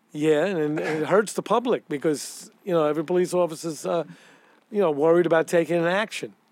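A man with a New York accent talks at a fairly quick pace. His pitch is high, with ordinary pitch variation. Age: 60s. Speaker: retired police detective. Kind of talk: storytelling interview.

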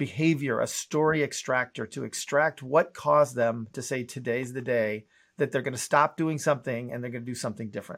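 A man speaks at a fairly quick pace with fairly even intonation, in a normal speaking voice. The recording is very clean, with a silent background. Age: 50s. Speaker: entrepreneur and author. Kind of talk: interview.

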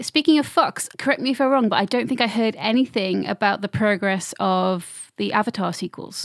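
A plain, everyday voice moves at a moderate pace with lively intonation, captured in a very clean recording with a silent background and a dry, close sound with no echo. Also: woman, fairly high pitch for a woman. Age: 30s. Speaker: podcast host and quiz master. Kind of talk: casual chat.

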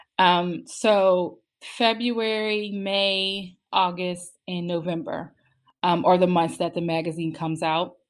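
With an American accent, the speaker goes very slowly, with ordinary pitch variation and a quiet background. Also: woman, medium pitch for a woman. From Pittsburgh, Pennsylvania. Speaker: mental health magazine founder. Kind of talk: interview.

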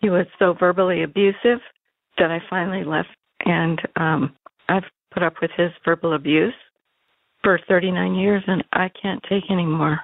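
Speaking at a moderate pace with an American accent, a woman uses a fairly low pitch and fairly even intonation, broken by long, frequent pauses. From US (Colorado). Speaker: caller. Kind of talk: phone message to advice show. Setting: phone call.

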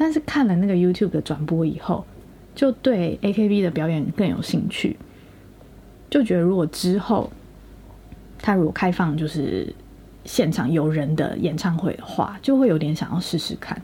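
A woman speaks at a moderate pace with long, frequent pauses and lively intonation. Her voice is somewhat breathy, fairly low in pitch and dark and mellow in tone. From Taiwan. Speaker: podcast co-host, student in Japan. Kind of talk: casual chat.

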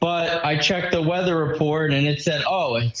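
Against noticeable background noise, a man with a fairly high voice and ordinary pitch variation talks at a fairly slow pace. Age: 20s. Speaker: listener and racing fan. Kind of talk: casual chat. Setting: phone call.

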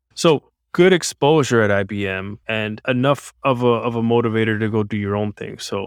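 With an American accent, a man in an ordinary speaking voice talks at medium pitch and a moderate pace, with hardly any pauses. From United States. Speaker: podcast host, game designer. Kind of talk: monologue commentary; casual interview.

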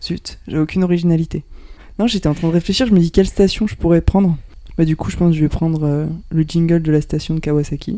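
Using a dark, mellow tone, a woman with a fairly low pitch talks at a very fast pace with fairly even intonation. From central France (Touraine, Cantal, Aveyron). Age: 20s. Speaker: office worker at an energy company. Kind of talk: casual chat.

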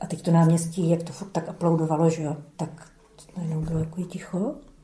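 A woman at a fairly low pitch and a fairly quick pace, amid noticeable background noise. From Czechia, Brno (South Moravia). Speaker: former dissident, eyewitness. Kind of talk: oral history testimony. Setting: archive interview recording.

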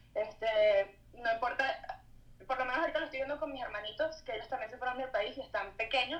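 A woman's high voice moves along at a fairly quick clip. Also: ordinary pitch variation. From Venezuela. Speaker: visual artist. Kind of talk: casual interview chat. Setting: remote video call.

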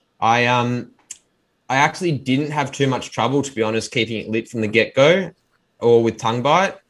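In a strong Australian accent, a man with a medium pitch talks at a moderate pace with ordinary pitch variation on a very clean recording with a silent background. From Australia, Melbourne. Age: 30s. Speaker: pipe maker and restorer. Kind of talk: interview.

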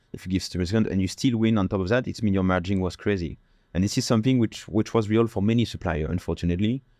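Talking at a very fast pace, a man uses a fairly low pitch with a dark, mellow tone and a French accent. His pitch varies normally, and the background is quiet. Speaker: sommelier and wine importer. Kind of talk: casual interview chat. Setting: studio.

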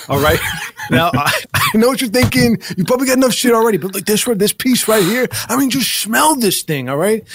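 In a put-on character voice, a man talks at an extremely high pitch and a fairly quick pace, with lively intonation and a slightly husky edge.

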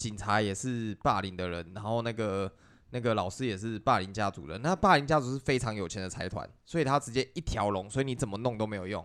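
A man with an ordinary speaking voice talks at a fairly low pitch and a fairly quick pace. His pitch variation is ordinary, and the recording is very clean with a silent background. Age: middle-aged. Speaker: video game podcast co-host. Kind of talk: reading news aloud; casual chat.

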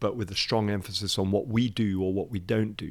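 In a very clean recording with a silent background, a man with a British accent speaks at a moderate pace with a fairly low pitch and monotone, flat intonation. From Nigeria, to British parents; English. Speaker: church leader. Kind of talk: interview conversation. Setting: studio.

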